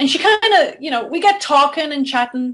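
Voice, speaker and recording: Talking at a fairly quick pace in an Irish accent, a woman lets her pitch swing very widely. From Ireland, near Limerick. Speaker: philanthropist and storyteller. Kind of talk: interview storytelling. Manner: halting, many repetitions.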